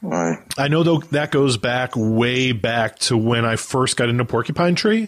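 Speaking in a plain, everyday voice with an American accent, a man keeps a fairly slow pace, medium pitch, lively intonation and very even loudness. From United States. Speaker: music podcast host. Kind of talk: casual chat.

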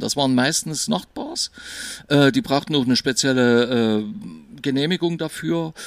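A man with an ordinary speaking voice talks at a moderate pace, fairly high in pitch and with lively intonation. The recording is very clean, with a silent background. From East Germany. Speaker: DJ. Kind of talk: casual chat.

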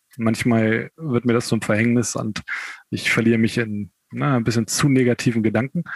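Medium in pitch, a man speaks at a moderate pace with ordinary pitch variation in an unremarkable speaking voice. The sound is dry and close, with no echo. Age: 30s. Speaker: amputee, kindergarten educator. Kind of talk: interview.

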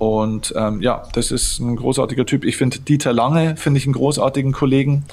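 A man at medium pitch, fairly quick, with hardly any pauses and very even loudness. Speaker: mental coach and author. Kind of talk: interview. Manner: energetic.

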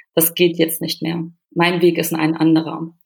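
A woman with a fairly low pitch. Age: 30s. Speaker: nutritionist and psychological counselor. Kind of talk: interview. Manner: halting, with fillers.

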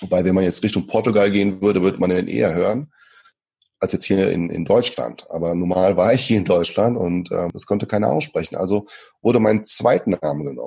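A man talks in a calm, dark, mellow tone at a fairly low pitch, with ordinary pitch variation and a fairly quick pace. The recording is very clean, with a silent background. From Germany, moved from Brazil at age five. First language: Portuguese (speaking German). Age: 30s. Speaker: speaker and trainer. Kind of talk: interview.

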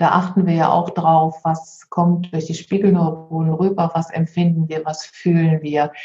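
A plain, everyday voice from a woman, pitched fairly low, moderately paced and fairly even in intonation. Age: 50s. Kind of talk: interview conversation.

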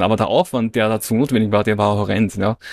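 A man with a fairly low pitch talks at a very fast pace in a dry, close sound with no echo. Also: very clean recording, silent background. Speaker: online entrepreneur and business coach. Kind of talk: casual interview conversation.

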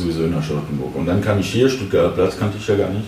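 A man speaks with a French accent at a fairly low pitch, with ordinary pitch variation. Noticeable background noise and audible room echo surround his voice. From France, Paris. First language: French (speaking German). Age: 30s. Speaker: restaurant owner and chef. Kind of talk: interview. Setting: restaurant.

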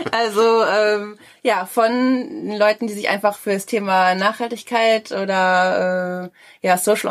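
Over a very clean recording with a silent background, a woman talks at a fairly high pitch with ordinary pitch variation. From Ruhr area, Germany (Schwerte). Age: 30s. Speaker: co-founder of a coworking hub. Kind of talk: interview. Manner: hesitant, many fillers.

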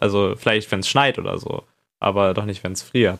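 Very clean recording, silent background, and a man speaking at a moderate pace. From northern Germany. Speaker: podcast co-host. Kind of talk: casual chat.

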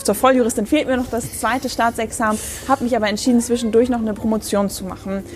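A woman speaks with a fairly high pitch and ordinary pitch variation. Noticeable background noise is present. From Bremen, Germany. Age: 20s. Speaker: young politician, youth party chairperson. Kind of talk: casual interview.

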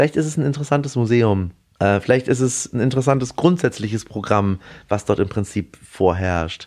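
Medium-pitched male speech with lively intonation at a moderate pace, on a very clean recording with a silent background. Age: 30s. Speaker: restaurateur. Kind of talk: interview. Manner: hesitant with fillers.

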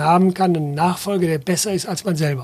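There is noticeable background noise as a man with a high pitch talks with ordinary pitch variation. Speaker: travel company founder and managing director. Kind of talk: interview.

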